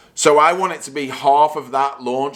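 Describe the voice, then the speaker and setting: The speaker is a man with a fairly high pitch. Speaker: golf vlogger. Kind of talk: golf practice vlog.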